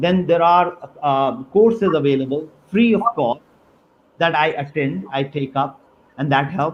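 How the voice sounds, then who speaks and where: Lively intonation marks this man's fairly high voice. He speaks slowly-ish, at a fairly slow pace, with a Pakistani accent. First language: Urdu. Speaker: university dean. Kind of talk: webinar interview. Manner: halting, many fillers.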